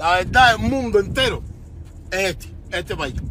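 Through noticeable background noise, a man with a Cuban accent projects a raised, high-pitched voice at a moderate pace with ordinary pitch variation. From Cuba, Havana. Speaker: musician. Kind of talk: livestream rant. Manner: animated.

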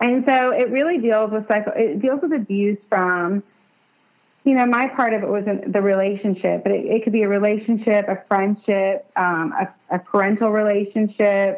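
A woman's fairly high voice, a normal speaking voice, with very even loudness. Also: ordinary pitch variation, moderate pace. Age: 30s. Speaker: domestic abuse survivor. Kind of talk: testimony.

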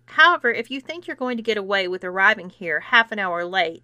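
This clip carries a natural reading voice.

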